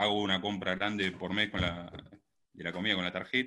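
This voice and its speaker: Here a man speaks with a very deep, low pitch. His intonation is fairly even. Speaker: caller. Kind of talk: casual conversation.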